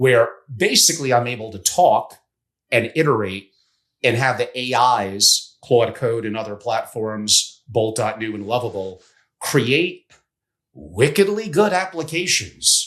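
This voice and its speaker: At a fairly slow pace, a man with an unremarkable speaking voice at medium pitch uses lively intonation, on a very clean recording with a silent background. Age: 60s. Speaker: family office strategist. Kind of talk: podcast interview.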